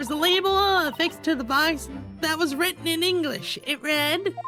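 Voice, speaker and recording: Putting on a character voice, a woman speaks at a moderate pace in a high pitch with ordinary variation, with clear music in the background. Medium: actual play.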